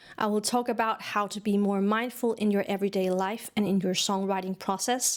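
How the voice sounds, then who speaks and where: A woman's medium-pitched voice with a Danish accent, fairly quick and flat in intonation, with hardly any pauses. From Denmark. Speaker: songwriting teacher. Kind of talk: online course lecture.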